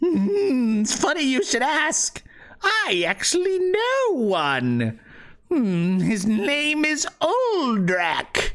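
This put-on character voice is high-pitched and delivered at a very slow pace. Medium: actual play. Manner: mocking, cackling.

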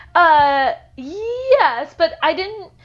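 A woman with an American accent and very wide pitch swings. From New York. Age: 30s. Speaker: screenwriter and novelist. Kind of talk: casual chat.

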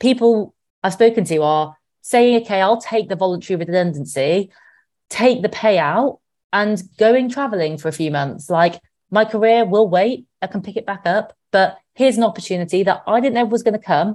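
A woman with a British accent talks at a moderate pace in a medium pitch. Her intonation is lively, and the background is quiet. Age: 30s. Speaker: money expert. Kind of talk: casual chat.

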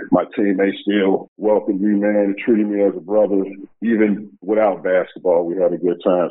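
A man with an American accent at a moderate pace. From US Midwest (Chicago). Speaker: former pro basketball player. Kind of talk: interview.

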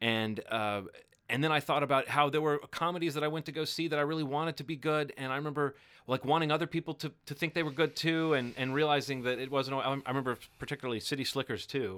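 A man with an American accent talks at a very fast pace and a fairly high pitch. His tone is bright and sharp, with fairly even intonation. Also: very clean recording, silent background. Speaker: podcast co-host. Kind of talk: casual chat. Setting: studio.

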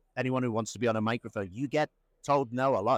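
A man with an Irish accent at a very fast pace and medium pitch, on a very clean recording with a silent background and a dry, close sound with no echo. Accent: Irish-sounding, self-described. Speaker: media company founder. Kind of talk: casual interview chat. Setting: in person at an event. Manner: halting, many fillers and restarts.

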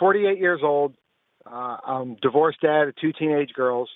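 With a normal speaking voice, a man talks at a moderate pace, fairly high in pitch, with ordinary pitch variation. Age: 40s. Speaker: caller. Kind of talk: radio call-in question. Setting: phone call.

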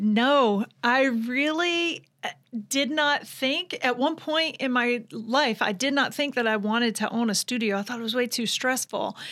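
Her voice is high, with a bright, sharp tone and a Southern US accent. This woman speaks at a fairly slow pace with ordinary pitch variation. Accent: Southern US (Georgia). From US South, Georgia (Vidalia). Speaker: fitness trainer and business owner. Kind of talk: interview.

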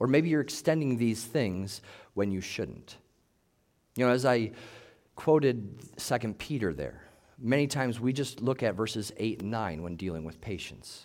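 In a room with audible echo, a man speaks at a moderate pace in a medium pitch with lively intonation. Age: 40s. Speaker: pastor. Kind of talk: sermon.

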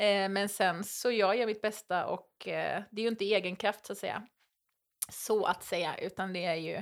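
A woman's ordinary speaking voice, medium in pitch and moderate in pace, with fairly even intonation. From western Sweden, island near Gothenburg. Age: 30s. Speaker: reality TV contestant. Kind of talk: casual interview chat. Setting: at the host's home.

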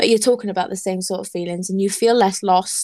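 A woman speaks at a medium pitch in a Welsh accent. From Wales. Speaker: podcast host. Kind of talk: casual interview.

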